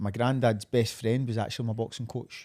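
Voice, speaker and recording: A man talks with a medium pitch and monotone, flat intonation. The recording is very clean and the background silent. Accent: Glaswegian. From Scotland, Glasgow area (Uddingston, East End). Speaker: professional MMA fighter. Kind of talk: casual interview chat.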